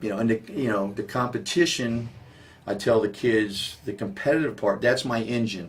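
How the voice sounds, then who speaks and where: Speaking with an American accent, a man talks at a moderate pace in a fairly low pitch with ordinary pitch variation. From Maryland, US (Silver Spring area). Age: 50s. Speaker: high school basketball coach. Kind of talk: interview. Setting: coach's office. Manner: animated, many fillers.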